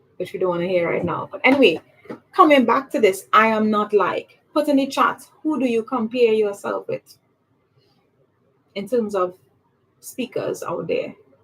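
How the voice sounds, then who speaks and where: A woman's fairly high, lively voice in a Trinidadian accent, at a moderate pace with long, frequent pauses. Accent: Trinidadian accent, still intact. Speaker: public speaking coach. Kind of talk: livestream talk. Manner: animated.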